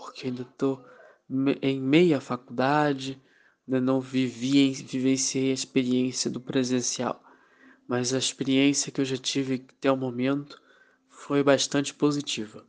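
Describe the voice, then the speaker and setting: A man's medium-pitched voice, monotone and flat, at a fairly slow pace. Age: young. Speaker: law student. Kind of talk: interview testimony. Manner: halting, with fillers.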